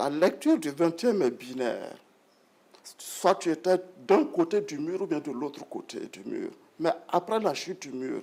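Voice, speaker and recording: A man's high-pitched voice with lively intonation. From Burkina Faso, Bobo-Dioulasso. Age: 60s. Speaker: retired broadcast executive and writer. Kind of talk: interview.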